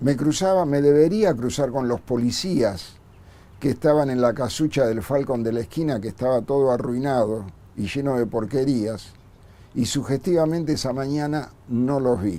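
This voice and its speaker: A man with a Rioplatense accent, a dark, mellow tone at medium pitch, moderate pace and ordinary pitch variation. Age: 60s. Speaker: bombing survivor and former community worker. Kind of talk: testimony.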